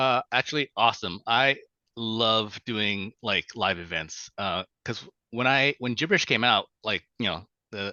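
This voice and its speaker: A man with a Vietnamese accent talks at a fairly low pitch and a fairly slow pace, with ordinary pitch variation. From Vietnam, raised in US from age five. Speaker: children's book author and illustrator. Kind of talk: podcast interview. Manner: halting, many fillers and repetitions.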